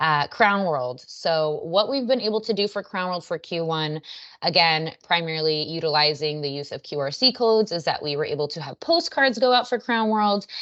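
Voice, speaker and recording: The speech carries lively intonation and has hardly any pauses. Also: woman, fairly low pitch for a woman. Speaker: marketing presenter. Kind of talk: business presentation on a video call. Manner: fast.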